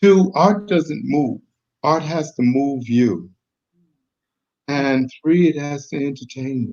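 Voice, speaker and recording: A man talks at a very slow pace in a fairly high pitch. His pitch varies in an ordinary way while his loudness swings widely. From Boston. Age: 70s. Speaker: artist. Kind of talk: interview. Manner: halting.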